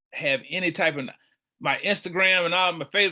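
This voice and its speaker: In a very clean recording with a silent background, a man with an American accent speaks at a high pitch in a bright, sharp tone. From Charlotte, North Carolina, US South. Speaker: community organizer. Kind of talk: podcast interview. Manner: loud and boisterous.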